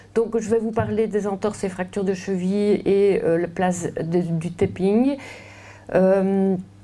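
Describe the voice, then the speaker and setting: With a Belgian accent, a woman speaks at a fairly slow pace and a medium pitch. Her tone is dark and mellow, and her intonation fairly even. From Belgium. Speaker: orthopedic surgeon. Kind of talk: lecture. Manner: hesitant, many fillers and repetitions.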